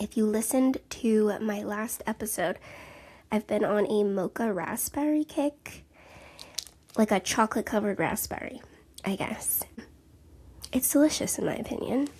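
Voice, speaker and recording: A soft-spoken woman talks at a fairly high pitch and moderate pace with ordinary pitch variation. She takes long, frequent pauses. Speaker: podcast host, counselor and mother. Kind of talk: casual solo podcast monologue. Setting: home, sitting on couch. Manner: chatty, tangential. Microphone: handheld mic held close to mouth.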